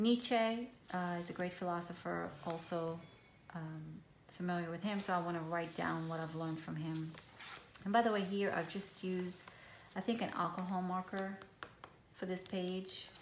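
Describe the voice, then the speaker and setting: A woman with a fairly low voice and fairly even intonation talks at a moderate pace with long, frequent pauses, amid noticeable background noise and audible room echo. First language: Hebrew. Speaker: journaling vlogger. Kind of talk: casual show-and-tell tutorial. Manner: hesitant, many fillers.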